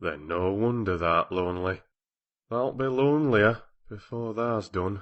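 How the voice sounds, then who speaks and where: Putting on a gruff character voice with a Yorkshire accent, a man speaks fairly low at a moderate pace. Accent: Yorkshire dialect, thee and thou. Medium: read story. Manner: blunt, gruff.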